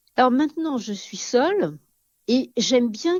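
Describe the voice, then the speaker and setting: Her voice somewhat breathy, a woman speaks at a fairly slow pace with very wide pitch swings. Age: 80s+. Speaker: elderly home-care client. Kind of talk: interview testimony. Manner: halting.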